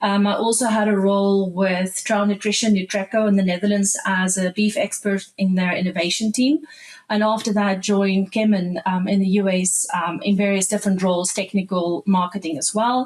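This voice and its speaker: Over noticeable background noise, a woman with a South African accent talks with hardly any pauses, fairly even intonation and very even loudness. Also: medium pitch for a woman, moderate pace. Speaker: animal nutritionist. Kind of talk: podcast interview.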